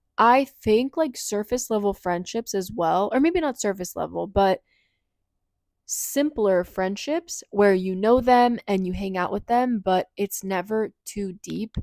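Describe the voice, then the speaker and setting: An animated woman's voice in an American accent, medium in pitch with ordinary pitch variation, at a fairly slow pace, dry and close with no echo on a very clean recording with a silent background. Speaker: lifestyle vlogger. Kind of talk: casual chat.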